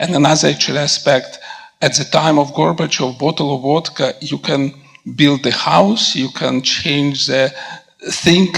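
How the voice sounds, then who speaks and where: There is noticeable background noise behind a man's voice. He speaks at a moderate pace with ordinary pitch variation. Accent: Russian. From Russia / former Soviet Union. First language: Russian. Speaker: physician. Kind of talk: audience question/comment at panel.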